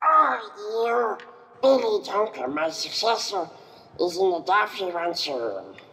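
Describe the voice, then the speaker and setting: A put-on character voice pitched fairly high. It moves along at a fairly slow pace. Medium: audio drama. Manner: sly, creepy.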